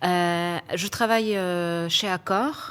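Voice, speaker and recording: On a very clean recording with a silent background, this woman's voice sits at a medium pitch. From Poland. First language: Polish (speaking French). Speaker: HR executive. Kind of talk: panel interview. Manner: hesitant, many fillers.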